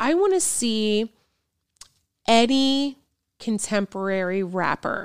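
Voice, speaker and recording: A woman at a very slow pace, on a very clean recording with a silent background and a dry, close sound with no echo. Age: 40s. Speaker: music teacher and flutist. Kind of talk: casual chat.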